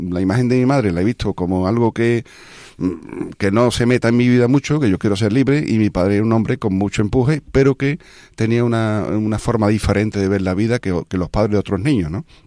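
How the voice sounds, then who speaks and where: A man's medium-pitched voice with a dark, mellow tone, ordinary pitch variation and a fairly quick pace, dry and close with no echo on a very clean recording against a silent background. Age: 60s. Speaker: radio host. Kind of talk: casual chat. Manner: halting.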